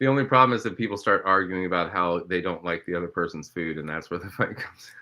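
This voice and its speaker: With a Midwestern accent, a man talks at a very fast pace in a very deep, low pitch with ordinary pitch variation. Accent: American Midwest. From Ohio, US Midwest. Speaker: filmmaker and TV host. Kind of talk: casual chat.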